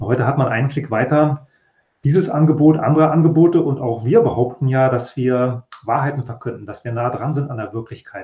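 Somewhat breathy male speech, fairly quick, medium in pitch and ordinary in pitch variation. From East Germany. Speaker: professor of communication studies. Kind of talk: interview.

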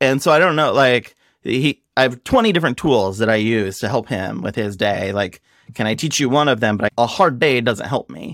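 An ordinary speaking voice with an American accent moves at a moderate pace with lively intonation. The recording is very clean and dry, close and echo-free, over a silent background. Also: man, medium pitch for a man. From US Midwest, Nebraska. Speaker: growth marketing executive. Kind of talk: casual chat.

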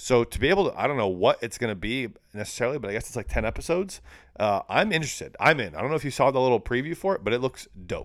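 On a very clean recording with a silent background, a man at medium pitch mumbles at a very fast pace. His pitch swings very widely. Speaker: podcast co-host. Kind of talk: casual chat. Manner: fast talker, mumbles.

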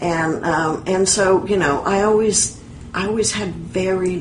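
Against noticeable background noise, a woman speaks at medium pitch with ordinary pitch variation. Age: 60s. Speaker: author and writing teacher. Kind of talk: casual interview.

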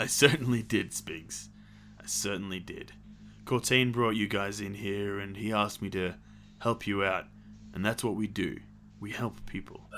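Doing a put-on character voice, a man speaks raspily at a moderate pace and a fairly low pitch over clear background noise. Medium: actual play. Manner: warm, reassuring.

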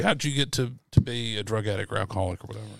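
Talking at a very fast pace, a man speaks with a Mississippi accent. The recording is very clean, with a silent background. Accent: US Southern (Mississippi). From Mississippi (Yazoo City). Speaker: podcast host. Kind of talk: casual chat; scripted intro. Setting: studio.

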